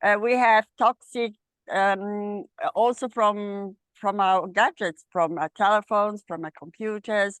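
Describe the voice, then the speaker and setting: A woman with an Italian accent at a very slow pace, medium pitch and fairly even intonation, in a dry, close sound with no echo. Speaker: medical astrologer. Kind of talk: casual chat. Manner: halting.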